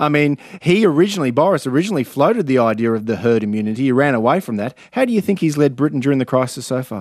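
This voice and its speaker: Hardly pausing at all, a man with a fairly high pitch talks at a very fast pace. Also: lively intonation. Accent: Australian. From Australia. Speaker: radio host. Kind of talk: radio interview. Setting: studio.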